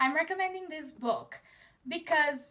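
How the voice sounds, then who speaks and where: Raised and projected, a voice with a Portuguese accent speaks fairly slowly in a bright, sharp tone with ordinary pitch variation. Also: woman. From Portugal. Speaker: book vlogger. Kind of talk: casual chat.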